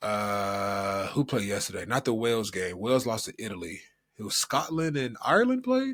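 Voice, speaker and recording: A man speaks in an unremarkable speaking voice with an American accent, at medium pitch and a moderate pace. The recording is very clean, with a silent background. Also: ordinary pitch variation. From United States. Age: 30s. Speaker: podcast co-host. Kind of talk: casual chat.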